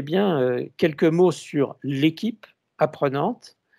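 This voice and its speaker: A man speaks here. His pitch is fairly high, with ordinary variation. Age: 60s. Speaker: consultant and author, conference speaker. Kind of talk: conference talk. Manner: halting, many hesitations.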